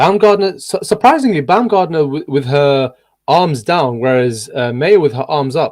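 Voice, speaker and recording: Lively intonation marks this man's speech, an unremarkable speaking voice with a fairly high pitch at a moderate pace. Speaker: boxing commentator, watchalong host. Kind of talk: live sports commentary, casual chat. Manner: live play-by-play commentary.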